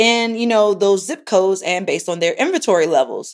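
Here a woman speaks with a Baltimore accent. Her pitch is medium. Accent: Baltimore American English. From Baltimore, US. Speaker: podcast host, tech entrepreneur. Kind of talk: casual solo podcast monologue, product review.

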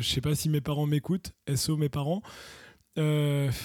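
A man speaks in a fairly high pitch with a dark, mellow tone. The recording is very clean, with a silent background. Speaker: podcast co-host. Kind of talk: casual chat.

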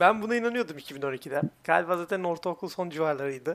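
Noticeable background noise accompanies a man who speaks with ordinary pitch variation. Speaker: podcast co-host. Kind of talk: casual chat.

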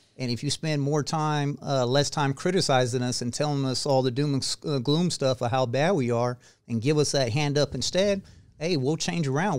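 A man with a plain, everyday voice speaks at a fairly high pitch and a moderate pace. Pitch variation is ordinary, and the recording is very clean with a silent background. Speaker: retired Air Force veteran. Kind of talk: casual interview chat.

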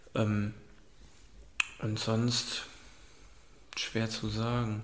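A man speaks in a monotone, flat intonation. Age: 20s. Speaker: student, partner of the host. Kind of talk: casual chat.

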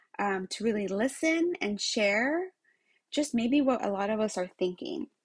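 A woman's somewhat breathy, fairly high voice with very wide pitch swings over a quiet background. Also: dry, close sound with no echo. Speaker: podcast host, retail executive. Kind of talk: casual monologue. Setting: home room.

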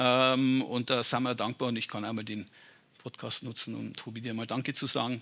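A man's medium-pitched voice with vocal fry, bright and sharp, flat and monotone at a moderate pace. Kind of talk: casual interview. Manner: plain-spoken, informal.

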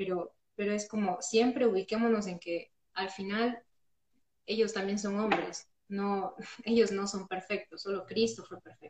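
A woman speaks at a moderate pace with a medium pitch. Her intonation is fairly even, an ordinary speaking voice. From Ecuador, Loja. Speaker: church member, friend of host. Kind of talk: casual Bible study chat. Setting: Instagram live.

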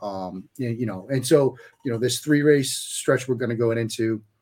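An ordinary speaking voice from a man, medium pitch, ordinary pitch variation, fairly quick pace. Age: 40s. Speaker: sports writer and analyst. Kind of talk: casual podcast chat.

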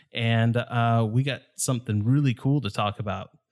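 This man has a normal speaking voice pitched in the medium range. He talks fairly slowly, and his intonation stays fairly even. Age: 30s. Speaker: podcast host, photographer. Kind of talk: casual chat.

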